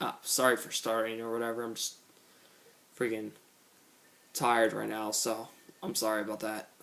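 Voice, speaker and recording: This man speaks at a moderate pace with a medium pitch. His intonation is fairly even, broken by long, frequent pauses. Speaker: gaming commentator. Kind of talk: gameplay tutorial commentary. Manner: halting, stumbles on words.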